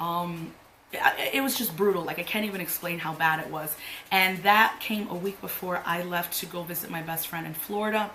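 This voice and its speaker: Audible room echo and noticeable background noise surround a woman speaking at a moderate pace with fairly even intonation. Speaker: beauty youtuber. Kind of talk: makeup tutorial chat. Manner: casual, filler-heavy.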